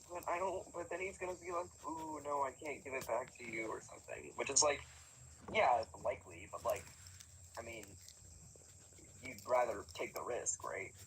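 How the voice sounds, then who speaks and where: A man talks at a moderate pace while noticeable background noise fills the clip. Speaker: live streamer. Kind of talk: casual chat. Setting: live stream. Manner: many filler words and pauses.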